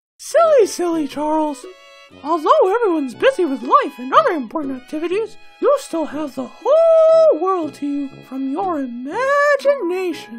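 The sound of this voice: Faint music plays behind a man doing a put-on character voice at an extremely high pitch for a man, delivered at a moderate pace.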